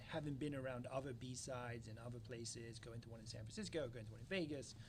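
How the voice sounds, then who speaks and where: In a room with audible echo, a man with an English accent talks at a very fast pace, his medium-pitched voice somewhat breathy and his pitch varying in an ordinary way. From London, England. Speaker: security company founder. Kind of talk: interview. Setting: conference.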